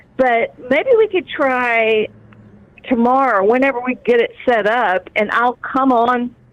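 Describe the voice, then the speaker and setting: Her pitch is high for a woman. She keeps her loudness very even. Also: ordinary pitch variation, fairly slow pace. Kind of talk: casual chat.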